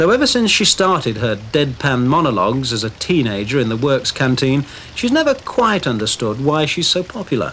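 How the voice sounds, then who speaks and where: A man speaks at a fairly quick pace with hardly any pauses and a fairly high pitch. His very wide pitch swings come through noticeable background noise. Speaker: TV reporter. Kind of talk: TV documentary narration.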